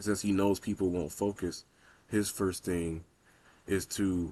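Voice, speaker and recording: At a moderate pace, a man talks in a very deep, low voice with monotone, flat intonation. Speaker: video essayist. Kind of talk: casual commentary monologue. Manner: occasional stutters.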